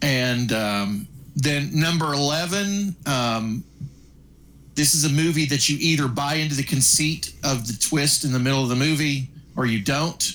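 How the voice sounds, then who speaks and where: Here is a man with an ordinary speaking voice, fairly high in pitch and very even in loudness. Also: ordinary pitch variation. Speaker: podcast co-host. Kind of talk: casual chat.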